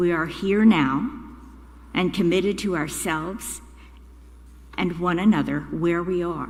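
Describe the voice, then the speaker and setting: A woman speaks slowly at a fairly low pitch with vocal fry and ordinary pitch variation. Long, frequent pauses break her speech, and the room echoes audibly. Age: 80s+. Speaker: congregant lay speaker. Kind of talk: prepared reflection at a church service. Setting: church.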